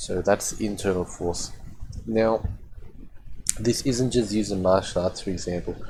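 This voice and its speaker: A man speaks at a moderate pace, with a fairly low pitch and a dark, mellow tone. His intonation is fairly even, and he takes long, frequent pauses. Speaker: spiritual practice teacher. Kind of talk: tutorial. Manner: hesitant, many fillers; loud bursts when demonstrating.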